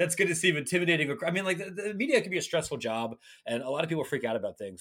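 A very fast man in an American accent, on a very clean recording with a silent background. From Ohio, Licking County near Columbus. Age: 30s. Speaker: college sports writer. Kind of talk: podcast interview.

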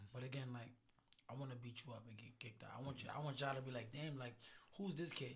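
This man's medium-pitched voice is somewhat breathy, moving at a very fast pace with fairly even intonation. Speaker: boxer. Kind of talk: casual banter.

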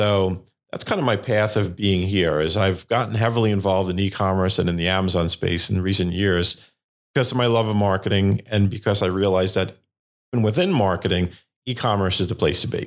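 At a fairly quick pace, a man with an American accent and a plain, everyday voice talks in a fairly low pitch with fairly even intonation and very even loudness. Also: very clean recording, silent background. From New York, Staten Island. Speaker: patent attorney. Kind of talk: interview. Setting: studio.

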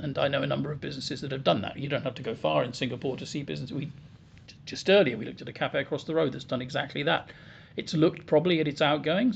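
Talking at a very fast pace, a man uses a fairly high pitch with ordinary pitch variation and vocal fry. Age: 60s. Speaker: business consultant. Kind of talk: podcast interview.

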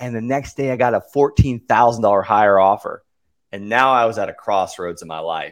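In a normal speaking voice, a man talks at a fairly quick pace with a medium pitch. His pitch varies in an ordinary way, while his loudness swings widely. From US South, Okeechobee, Florida. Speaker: real estate investor and coach. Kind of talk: casual interview.

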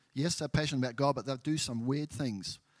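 On a very clean recording with a silent background and a dry, close sound with no echo, a man with a New Zealand accent talks at a fairly quick pace with ordinary pitch variation. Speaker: church member, former missionary. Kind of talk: testimony.

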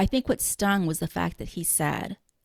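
A woman's normal speaking voice at medium pitch and moderate pace, dry and close with no echo. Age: 40s. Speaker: podcast host and blogger. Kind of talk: casual chat. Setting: remote recording.

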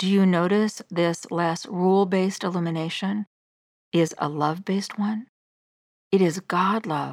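On a very clean recording with a silent background and a dry, close sound with no echo, a woman speaks at a moderate pace and medium pitch with fairly even intonation, in an ordinary speaking voice. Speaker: devotional podcast host. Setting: solo studio recording. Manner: earnest, gentle, fervent; measured, sincere.

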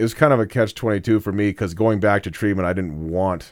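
In a very clean recording with a silent background, a man talks at a fairly quick pace with ordinary pitch variation. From Casper, Wyoming. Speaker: laundry service provider and sober-living founder, in recovery. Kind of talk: interview conversation. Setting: radio studio. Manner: halting, repeats words.

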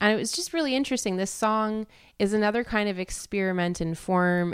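This woman has an unremarkable speaking voice, talking at a moderate pace with fairly even intonation. The recording is very clean, with a silent background. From Canada. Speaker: singer-songwriter and composer. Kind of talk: interview.

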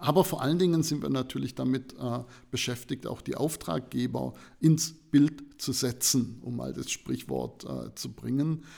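A man talks at a medium pitch with a dark, mellow tone and vocal fry. The recording is very clean, with a silent background. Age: 50s. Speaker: information design professor. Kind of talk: interview.

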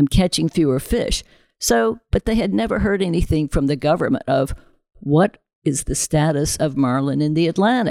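With an American accent, this voice moves at a moderate pace through very wide pitch swings, sounding dry and close with no echo. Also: woman. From US South. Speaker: president of a sport fishing conservation group. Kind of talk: podcast interview.

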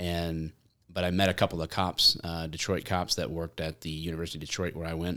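This man has a Michigan accent and a very deep, low pitch. He talks at a very fast pace on a very clean recording with a silent background. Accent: Michigan, general American. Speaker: former police officer, content creator. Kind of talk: casual chat. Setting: studio. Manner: joking, animated.

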